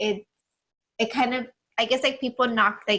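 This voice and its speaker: A soft-spoken woman talks at a fairly slow pace in a bright, sharp tone. Her intonation is fairly even. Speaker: wedding videographer, podcast co-host. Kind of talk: casual chat. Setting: video podcast with cameras.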